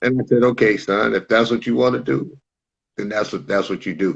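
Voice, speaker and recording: A man's medium-pitched voice with vocal fry and ordinary pitch variation. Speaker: author and sports parent coach. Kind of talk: interview. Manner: loud.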